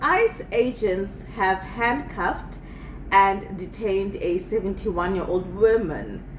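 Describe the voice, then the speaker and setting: A woman talks at a fairly slow pace with ordinary pitch variation. Audible room echo and noticeable background noise surround her voice. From South Africa. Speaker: video commentator. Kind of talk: casual commentary. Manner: halting, repetitive.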